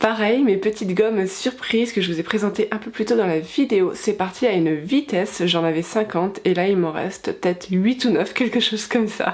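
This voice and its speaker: A woman at a medium pitch speaks at a moderate pace with ordinary pitch variation and hardly any pauses, over noticeable background noise. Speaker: vlogger and stationery stall seller. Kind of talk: vlog.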